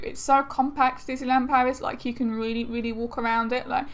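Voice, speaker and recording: A high-pitched woman's voice in an English accent, with ordinary pitch variation. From England. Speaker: vlogger. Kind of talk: casual vlog talk. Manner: chatty with hesitations.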